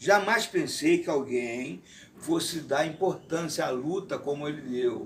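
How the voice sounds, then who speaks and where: A man's very slow speech with lively intonation over noticeable background noise. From Rio de Janeiro, Brazil. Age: 60s. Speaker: retired kung fu teacher. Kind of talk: interview testimony. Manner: formal.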